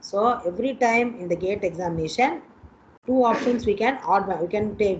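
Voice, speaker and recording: A woman's voice of medium pitch, varying in pitch in an ordinary way, comes through noticeable background noise. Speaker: college teacher. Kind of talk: online lecture.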